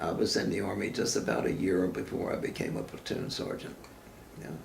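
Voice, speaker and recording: Through noticeable background noise, a man with a very deep, low pitch talks at a fairly quick pace with very wide pitch swings. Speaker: war veteran. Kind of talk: interview answer.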